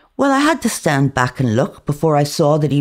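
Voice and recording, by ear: The tone is slightly mellow. The pace is moderate.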